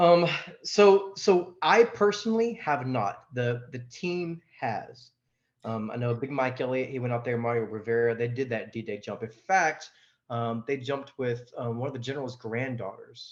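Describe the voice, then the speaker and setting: A man in a Southern US accent at a medium pitch, with lively intonation and a moderate pace. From Louisiana (Farmerville), born in Texas. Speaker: skydiving team member. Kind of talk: casual chat.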